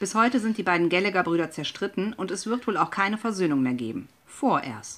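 With a normal speaking voice, a woman talks at a fairly quick pace using lively intonation. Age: 30s. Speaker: guest radio presenter. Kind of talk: scripted radio presentation.

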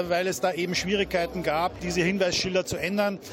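A man speaks at a moderate pace in a high voice. His intonation is monotone and flat, and there is noticeable background noise. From Austria. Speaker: venue managing director. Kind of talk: radio interview.

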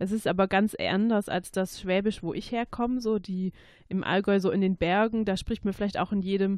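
A woman speaks with a slight Swabian accent and fairly even intonation. The sound is dry and close with no echo, against a quiet background. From Swabia, Germany (Stuttgart–Ulm–Biberach area). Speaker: dialect speaker. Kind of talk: interview.

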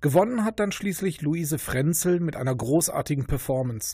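Delivered at a fairly quick pace, this very clean recording has a silent background. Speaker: radio host. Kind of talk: radio presentation.

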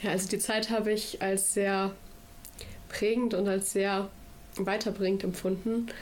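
A woman's monotone, flat delivery with very even loudness and long, frequent pauses. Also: medium pitch for a woman, fairly slow pace. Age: 20s. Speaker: federal volunteer at a food bank. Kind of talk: radio interview.

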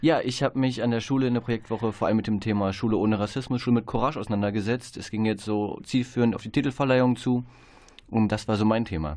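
This man speaks at a very fast pace. His voice sits at a medium pitch with fairly even intonation. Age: 20s. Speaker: trainee educator. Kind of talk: radio interview. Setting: radio studio.

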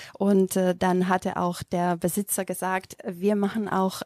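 With a Macedonian accent, a woman speaks at medium pitch in a dry, close sound with no echo. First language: Macedonian (speaking German). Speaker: yoga teacher. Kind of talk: interview. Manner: halting.

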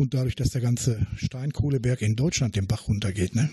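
Speaking at a moderate pace in a normal speaking voice, a man keeps a medium pitch with ordinary pitch variation. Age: 60s. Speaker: retired miner and blaster. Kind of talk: interview.

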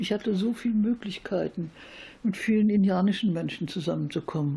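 A woman's somewhat breathy voice, medium in pitch, with a dark, mellow tone. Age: 70s. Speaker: peace and women's rights activist. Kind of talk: interview. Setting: at home.

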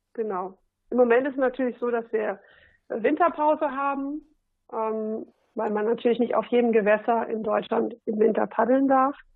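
A woman speaks at a fairly high pitch and a moderate pace with ordinary pitch variation. She has a plain, everyday voice. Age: 40s. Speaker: SUP fitness trainer. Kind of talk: casual interview.

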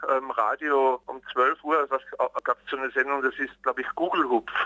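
A man talks at a moderate pace. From Austria. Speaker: cabaret artist. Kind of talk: interview. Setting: phone call.

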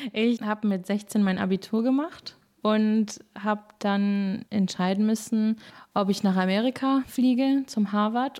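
Recorded very cleanly against a silent background, a woman talks at a fairly slow pace and medium pitch in a plain, everyday voice with ordinary pitch variation. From Germany, Moers area (born in England). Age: 20s. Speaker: singer. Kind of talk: interview.

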